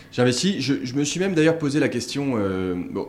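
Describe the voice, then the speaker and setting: A man's voice with very wide pitch swings and audible room echo. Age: 30s. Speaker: startup founder and business angel. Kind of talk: casual interview. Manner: halting, many repetitions and fillers.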